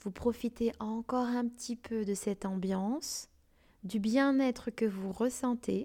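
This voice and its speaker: Soothing and dark, mellow in tone, a woman speaks at a very slow pace with fairly even intonation. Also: fairly high pitch for a woman. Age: 30s. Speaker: career change coach and podcast host. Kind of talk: guided visualization. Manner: slow and soothing.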